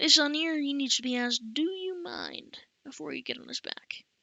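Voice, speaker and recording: Here a woman uses a put-on character voice. It is pitched high. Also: moderate pace. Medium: read story. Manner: folksy, teasing.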